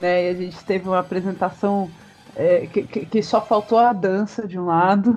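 Music plays in the background as a woman speaks. Her pitch is medium and her pace moderate. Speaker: podcast host. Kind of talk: casual chat. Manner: animated.

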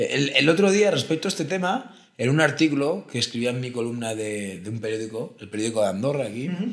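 Lively intonation runs through a man's medium-pitched speech, a plain, everyday voice. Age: 30s. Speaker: philosopher. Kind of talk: casual chat.

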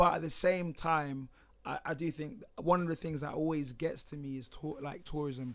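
A man speaks in a London accent, fairly high in pitch. His pace is moderate and his pitch varies in an ordinary way. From UK. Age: 20s. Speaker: podcast guest. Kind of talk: casual chat.

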